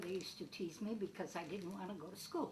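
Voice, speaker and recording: Audible room echo and noticeable background noise surround a woman speaking with fairly even intonation. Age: 70s. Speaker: elderly woman telling her life story. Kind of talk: personal reminiscence.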